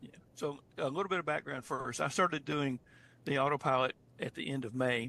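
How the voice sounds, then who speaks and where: This man's voice sits fairly high, with a bright, sharp tone. He moves at a fairly quick pace with fairly even intonation. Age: 70s. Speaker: retired beginner trader sharing experience. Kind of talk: online group call testimony. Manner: halting, with repetitions and fillers.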